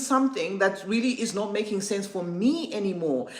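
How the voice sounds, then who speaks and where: A woman at a moderate pace with ordinary pitch variation, amid audible room echo and noticeable background noise. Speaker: perfume content creator and livestream host. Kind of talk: livestream chat reading viewer comments. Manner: halting, many fillers and restarts.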